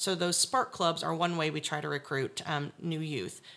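A woman with an American accent and a very deep, low pitch talks at a fairly quick pace, her tone bright and sharp, her intonation lively, with vocal fry on a very clean recording with a silent background. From Indiana (Seymour). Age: 30s. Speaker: 4-H educator. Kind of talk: interview.

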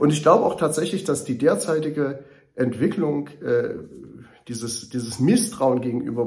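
A mid-pitched male voice at a moderate pace with ordinary pitch variation and audible room echo. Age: 50s. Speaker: mayor and political candidate. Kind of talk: campaign monologue. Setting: studio. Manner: earnest, with filler hesitations.

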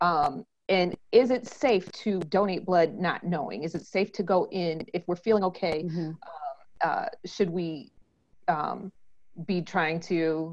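An ordinary speaking voice moves at a fairly slow pace. Its pitch varies in an ordinary way. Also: woman. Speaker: podcast host. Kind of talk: casual interview chat.

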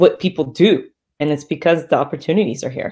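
A woman at a fairly quick pace on a very clean recording with a silent background. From Texas. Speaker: fitness coach and entrepreneur. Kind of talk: casual interview chat.

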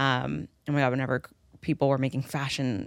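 Very deep, low woman's voice with vocal fry, an animated tone and a moderate pace. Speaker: podcast host. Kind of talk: casual chat. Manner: animated, laughs often.

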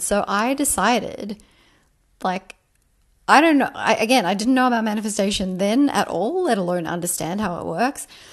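With lively intonation and a fairly high pitch, a woman talks in a plain, everyday voice against a quiet background. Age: 30s. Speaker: manifestation coach and podcast host. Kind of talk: casual monologue. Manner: chatty, many fillers.

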